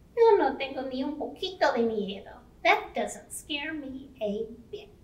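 A woman performs a cartoonish character voice at a high pitch. She keeps a moderate pace. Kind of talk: children's bilingual puppet show. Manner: upbeat, confident.

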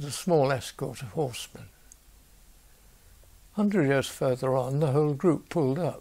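At a moderate pace with long, frequent pauses, a man speaks in a dark, mellow, somewhat breathy voice with ordinary pitch variation. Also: fairly high pitch for a man. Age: 80s+. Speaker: lay preacher. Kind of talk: reading a bible story. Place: home room. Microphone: lapel.

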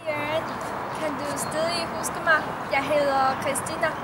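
A woman with a Chinese accent at a very slow pace, amid loud background noise. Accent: Chinese-accented Danish. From China. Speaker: university student. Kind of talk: personal tribute. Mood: warm, smiling, a bit shy. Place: garden. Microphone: camera far.

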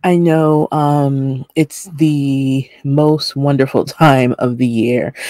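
Over a quiet background, a woman speaks very slowly with a very deep, low pitch, a dark, mellow tone and fairly even intonation. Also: dry sound with no echo. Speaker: vlog host. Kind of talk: casual vlog chat. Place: home room. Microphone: webcam.

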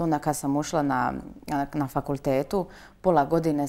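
A woman's very deep, low voice carries a dark, mellow tone. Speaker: interview guest. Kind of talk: interview answer. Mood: cheerful, relaxed. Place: studio. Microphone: lapel.

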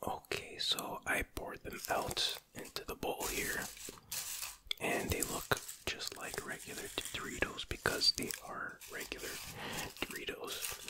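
Soft-spoken whispering with long, frequent pauses over noticeable background noise. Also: fairly slow pace. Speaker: food reviewer. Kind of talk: casual ASMR-style tasting chat. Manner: soft ASMR whisper.

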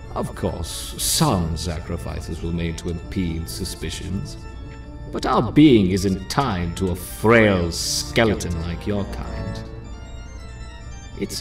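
A put-on character voice at a very slow pace, with loud music in the background. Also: man. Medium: game stream. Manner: cold, contemptuous, gloating.

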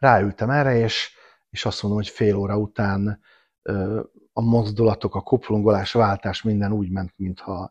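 Against a quiet background, a man with a fairly low pitch talks at a moderate pace in a monotone, flat intonation, with long, frequent pauses. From Budapest, Hungary. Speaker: motorcyclist, tour helper; podcast guest. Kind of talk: casual chat. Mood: relaxed, storytelling. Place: home room. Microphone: lapel.

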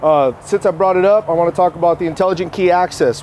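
This man's high voice moves at a fairly quick pace with fairly even intonation, sounding dry with no echo over light background noise. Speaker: car salesman. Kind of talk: product walkaround presentation. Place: street.

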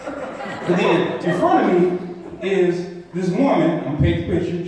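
A man speaks with a high pitch. Strong room echo surrounds his voice. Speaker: comedian. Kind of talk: stand-up comedy set with storytelling, crowd asides and edgy punchlines. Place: stage. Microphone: pa.

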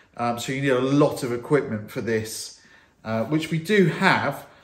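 A man speaks at a moderate pace. Room echo is audible. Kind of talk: tutorial. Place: workshop.

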